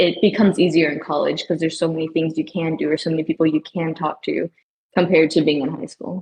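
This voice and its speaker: Speaking very fast, a woman uses a fairly low pitch and monotone, flat intonation. The sound is dry and close with no echo. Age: young. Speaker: college student guest on student podcast. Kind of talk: casual chat.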